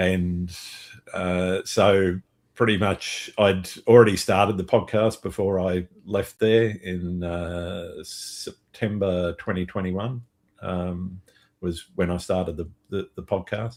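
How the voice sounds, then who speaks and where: Speaking at a very slow pace, a man with an Australian accent has a very deep, low pitch and a flat monotone. The recording is very clean, with a silent background. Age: 60s. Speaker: landscape photographer and podcast host. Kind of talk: casual interview chat.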